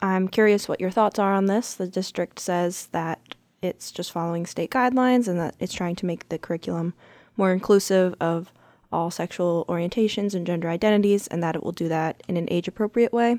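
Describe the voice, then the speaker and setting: The recording is very clean, with a silent background, and a woman uses an ordinary speaking voice. She talks at a fairly quick pace and medium pitch with fairly even intonation. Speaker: newspaper education reporter and podcast host. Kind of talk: interview.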